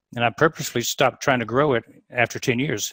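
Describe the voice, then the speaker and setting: On a very clean recording with a silent background, a man speaks at medium pitch with a Southern US accent. The sound is dry and close, with no echo. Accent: Southern US (Georgia). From US South, Atlanta, Georgia. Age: 60s. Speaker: dentist and practice consultant. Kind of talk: podcast interview.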